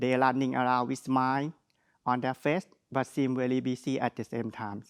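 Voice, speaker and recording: Against a quiet background, a man speaks with a strong Thai accent. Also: dry, close sound with no echo. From Thailand. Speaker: graduate speaker. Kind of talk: graduation speech. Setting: virtual graduation ceremony.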